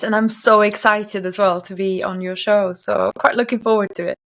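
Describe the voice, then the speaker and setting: A woman with a fairly high voice and a German accent. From Germany. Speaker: language coach. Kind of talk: interview.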